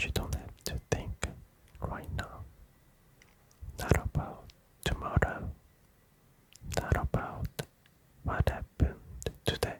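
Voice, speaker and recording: Someone whispers at a very slow pace with long, frequent pauses amid noticeable background noise. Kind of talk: whispered ASMR sleep talk to camera. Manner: whispered, slow, soft-spoken.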